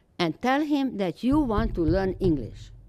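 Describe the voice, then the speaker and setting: At a fairly slow pace, a woman with a Romanian accent lets her pitch swing very widely. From Romania, Transylvania. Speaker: Holocaust survivor speaker. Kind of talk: testimony. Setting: school audience.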